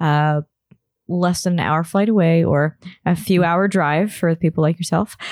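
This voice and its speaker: A woman's unremarkable speaking voice, fairly low in pitch, at a moderate pace with very even loudness and a dry, close sound with no echo. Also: fairly even intonation. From Toronto, Canada. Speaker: podcast host. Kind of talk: casual interview.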